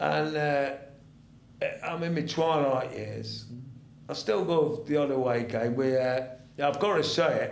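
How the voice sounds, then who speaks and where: A man with an East Midlands accent speaks at a fairly high pitch with ordinary pitch variation, at a fairly slow pace with long, frequent pauses. Noticeable background noise and audible room echo fill the recording. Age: 70s. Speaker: retired ex-soldier and football fan. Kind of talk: casual chat. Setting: studio. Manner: halting.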